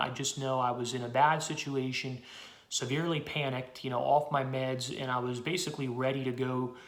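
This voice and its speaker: A man with an American accent at a medium pitch and fairly quick pace, with audible room echo. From Pennsylvania, US. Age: 20s. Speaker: political activist. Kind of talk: personal testimony. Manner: fast.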